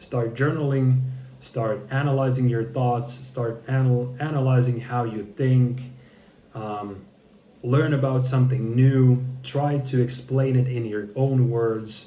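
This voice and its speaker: A man's very slow, monotone, flat delivery at medium pitch, somewhat breathy with a dark, mellow tone, in audible room echo. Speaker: content creator practicing public speaking. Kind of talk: casual vlog monologue. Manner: halting, choppy with many repetitions; hesitant, thinking before speaking.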